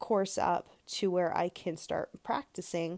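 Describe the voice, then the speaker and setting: A woman of medium pitch at a moderate pace, with a dry, close sound and no echo. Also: very clean recording, silent background. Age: 30s. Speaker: life coach podcaster. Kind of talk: solo monologue podcast. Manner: hesitant with many fillers.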